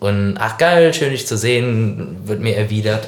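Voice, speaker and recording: A man speaks in a fairly low voice. Audible room echo and noticeable background noise surround him. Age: 30s. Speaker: podcast co-host and band musician. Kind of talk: casual chat.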